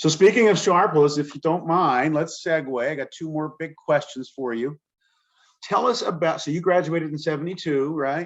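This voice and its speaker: With an American accent, a man speaks in a plain, everyday voice, fairly high in pitch with ordinary pitch variation. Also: moderate pace. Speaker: alumni video host. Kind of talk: casual interview chat.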